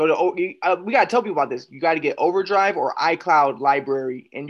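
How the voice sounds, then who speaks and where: With ordinary pitch variation and a moderate pace, a man talks in a plain, everyday voice. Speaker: podcast host. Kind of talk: casual chat. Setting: video call.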